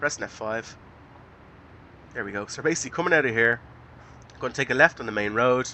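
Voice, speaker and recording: With an Irish accent, a man speaks at a very fast pace and a medium pitch, showing ordinary pitch variation. His loudness swings widely, and he takes long, frequent pauses. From Ireland. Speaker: gaming YouTuber. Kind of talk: let's play commentary. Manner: hesitant, many fillers.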